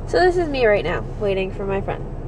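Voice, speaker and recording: Against noticeable background noise, a woman with a fairly high pitch speaks very fast, her pitch swinging very widely. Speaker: vlogger. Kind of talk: casual vlog.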